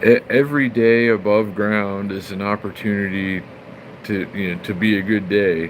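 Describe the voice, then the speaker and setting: Amid noticeable background noise, a man with an American accent speaks at a fairly low pitch and moderate pace with fairly even intonation. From California. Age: 40s. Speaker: live streamer. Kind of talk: casual chat. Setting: live stream.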